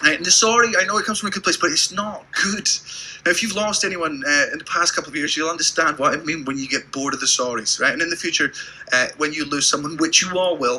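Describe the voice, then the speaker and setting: Over noticeable background noise, a man talks at a very fast pace. His tone is animated. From Britain. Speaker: stand-up comedian. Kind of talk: stand-up.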